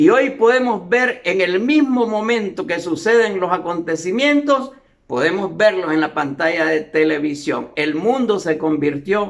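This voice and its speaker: With audible room echo, a man speaks using very wide pitch swings. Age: 70s. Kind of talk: sermon-style lecture.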